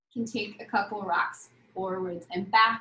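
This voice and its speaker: Audible room echo surrounds speech at a fairly slow pace. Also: woman. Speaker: yoga instructor. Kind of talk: guided yoga class. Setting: live video class. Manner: calm, soothing, slow and gentle cueing; light, playful, chatty with laughs. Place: home room. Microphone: video call.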